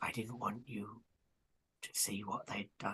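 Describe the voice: A put-on character voice with a husky, rough edge and a bright, sharp tone moves at a fairly slow pace with little pitch movement. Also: man, fairly low pitch for a man.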